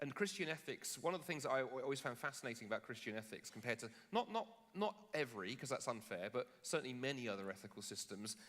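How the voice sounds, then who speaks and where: A man with a British accent, medium pitch, lively intonation and a very fast pace. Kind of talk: public debate. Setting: stage with live audience. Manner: halting, with many restarts.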